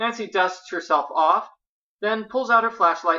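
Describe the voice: Over a quiet background, plain reading aloud with ordinary pitch variation.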